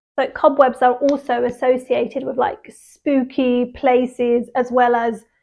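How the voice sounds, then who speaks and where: With a British RP accent, a woman speaks at a fairly slow pace with hardly any pauses. Her high pitch stays monotone and flat. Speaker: English teacher. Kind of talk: English vocabulary lesson. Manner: casual, conversational.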